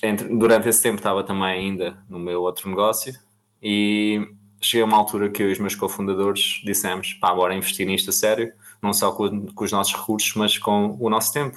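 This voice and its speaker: A man talks at a moderate pace with monotone, flat intonation. The background is quiet. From Portugal, Almada. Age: 20s. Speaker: crypto startup founder. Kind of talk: podcast interview.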